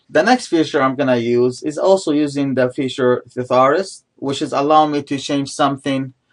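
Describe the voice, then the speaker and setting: A man with a fairly high pitch speaks at a moderate pace with hardly any pauses and fairly even intonation. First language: not English (English is third language). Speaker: instructor. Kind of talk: tutorial. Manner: halting.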